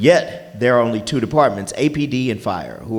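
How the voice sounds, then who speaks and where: Loud and very fast, a man speaks with lively intonation over background music, and the room echo is audible. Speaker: forum moderator. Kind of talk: moderating a public forum. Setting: stage with audience.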